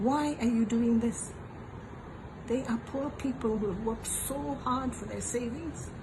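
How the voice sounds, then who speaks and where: A woman with a fairly high pitch and ordinary pitch variation speaks at a fairly slow pace. Audible room echo and noticeable background noise are present. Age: 80s+. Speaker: elderly voter. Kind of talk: political appeal.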